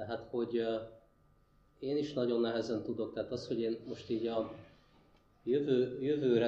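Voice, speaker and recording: A man's medium-pitched voice with a dark, mellow tone, monotone, flat intonation and a fairly slow pace, with audible room echo. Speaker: human ecologist, university lecturer. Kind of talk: panel discussion Q&A. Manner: hesitant, repeats words.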